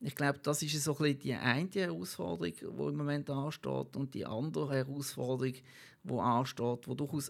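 In a Basel accent, a man speaks at a medium pitch and a moderate pace on a very clean recording with a silent background. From Basel-Landschaft, Switzerland. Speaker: local politician and lobbyist. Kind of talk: interview.

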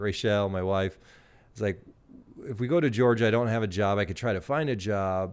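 In a plain, everyday voice, a man with an American accent speaks at a fairly low pitch with ordinary pitch variation. The recording is very clean, the background silent. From US Midwest, small-town Illinois. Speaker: social media influencer and university staff. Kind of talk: interview.

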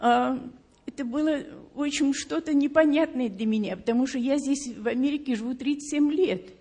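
Using ordinary pitch variation, a woman with a high pitch speaks at a moderate pace. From Leningrad, Russia. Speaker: church member giving testimony. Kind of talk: testimony.

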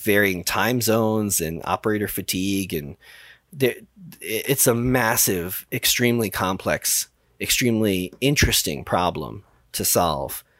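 An ordinary speaking voice from a man with an American accent, fairly low in pitch with ordinary pitch variation, at a fairly slow pace on a very clean recording with a silent background. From New York, the Bronx. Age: 40s. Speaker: mission control director at a space software company. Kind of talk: podcast interview.

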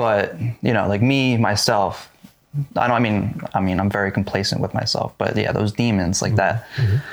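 With very even loudness and an ordinary speaking voice, a man talks at a fairly quick pace in a fairly low pitch with ordinary pitch variation. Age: 20s. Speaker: podcast co-host. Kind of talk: casual chat.

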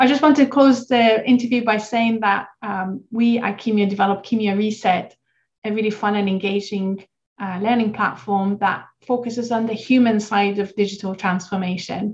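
At a moderate pace and with fairly even intonation, the speaker sounds somewhat breathy. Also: woman, fairly high pitch for a woman. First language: not English. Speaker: podcast host, founder of pharma training company. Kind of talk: interview conversation.

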